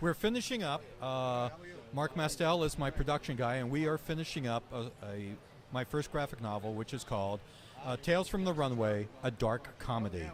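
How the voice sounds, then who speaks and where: With a plain, everyday voice, a man talks at a moderate pace and medium pitch, his intonation lively. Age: 60s. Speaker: journalist and comic writer. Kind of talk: casual interview. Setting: comic convention.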